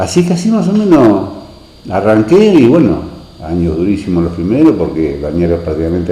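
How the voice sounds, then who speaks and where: In a Rioplatense accent, a man talks at a fairly quick pace with ordinary pitch variation, with audible room echo and noticeable background noise. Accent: Argentine Rioplatense Spanish. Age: 60s. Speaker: local resident, former beach resort concessionaire. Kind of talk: oral history interview. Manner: hesitant, many fillers.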